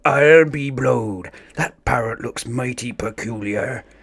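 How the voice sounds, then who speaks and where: A raspy, put-on character voice from a man, medium in pitch, at a fairly slow pace. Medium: read story. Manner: hearty, blustering pirate talk.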